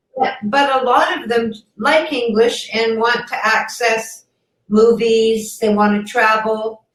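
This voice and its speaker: Over audible room echo, a woman with a Canadian accent speaks very slowly at a fairly high pitch with fairly even intonation. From Canada. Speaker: online ESL teacher. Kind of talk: casual chat.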